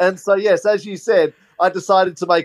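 A man's high voice with an Australian accent, at a moderate pace with ordinary pitch variation, dry and close with no echo. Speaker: film producer and comedy filmmaker.

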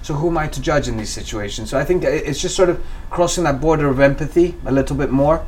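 Very fast speech comes from a man with a fairly high pitch and ordinary pitch variation. Noticeable background noise and audible room echo are present. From Kenya, western, near Lake Victoria. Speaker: environmental project founder. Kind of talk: interview. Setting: at his home. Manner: hesitant, many repetitions and fillers.

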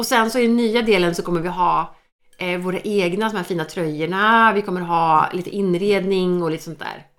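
A woman's unremarkable speaking voice, medium in pitch, at a moderate pace with fairly even intonation. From Sweden, Norrköping. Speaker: podcast co-host. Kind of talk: casual chat.

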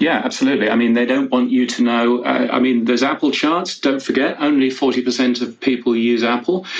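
A man talks at a fairly quick pace with hardly any pauses. His loudness stays very even over noticeable background noise. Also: medium pitch for a man, ordinary pitch variation. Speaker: podcast news editor. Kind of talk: panel discussion. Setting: Clubhouse audio room.

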